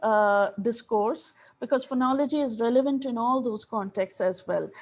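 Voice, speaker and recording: Over a quiet background, a woman with a Bengali accent talks at a moderate pace and a high pitch. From India, Odisha (rural). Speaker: linguistics professor, keynote speaker. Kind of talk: academic lecture.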